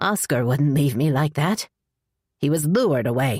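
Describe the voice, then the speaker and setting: A man does a put-on character voice, growling at a fairly high pitch and a moderate pace. The recording is very clean, with a silent background. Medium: read story. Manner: snappish, prim, imperious.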